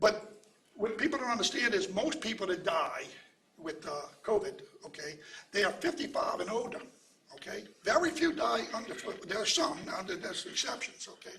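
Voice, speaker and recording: Amid noticeable background noise and audible room echo, a man speaks at a moderate pace with very wide pitch swings. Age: 70s. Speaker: pharmacist and anti-opioid advocate. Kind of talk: press conference speech. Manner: repetitive filler 'okay', some stammering.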